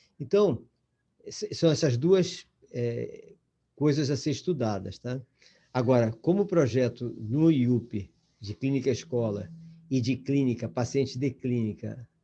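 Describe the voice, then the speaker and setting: Somewhat breathy and dark, mellow in tone, a man speaks fairly slowly with lively intonation and long, frequent pauses. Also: medium pitch for a man. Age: 70s. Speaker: lecturer in educational psychology course. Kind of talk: online lecture. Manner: halting, with many false starts.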